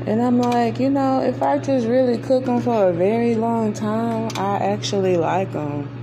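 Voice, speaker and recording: A woman speaks at a moderate pace with hardly any pauses, her very deep, low voice animated and her intonation lively, over noticeable background noise and audible room echo. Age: 30s. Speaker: family vlogger. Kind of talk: cooking vlog. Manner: casual, animated.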